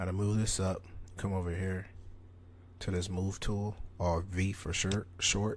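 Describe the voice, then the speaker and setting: A man's very deep, low voice, somewhat breathy, at a fairly slow pace. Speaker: tutorial creator. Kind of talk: tutorial. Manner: casual.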